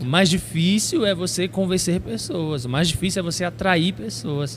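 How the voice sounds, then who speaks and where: A man with a high pitch is speaking at a moderate pace. Noticeable background noise can be heard. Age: 30s. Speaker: preacher and youth pastor. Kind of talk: casual chat.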